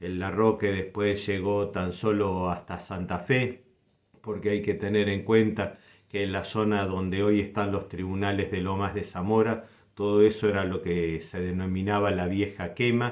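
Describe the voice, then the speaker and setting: Monotone, flat delivery at a fairly slow pace. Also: man, fairly low pitch for a man. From Argentina, Buenos Aires south suburbs (Banfield). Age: 60s. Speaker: doctor sharing local memories. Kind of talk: personal reminiscence.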